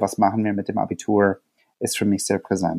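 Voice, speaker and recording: Recorded dry and close with no echo, a man with an American accent speaks in a fairly low pitch with a dark, mellow tone. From USA. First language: English (speaking German). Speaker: teacher. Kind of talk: interview. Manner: hesitant, many fillers.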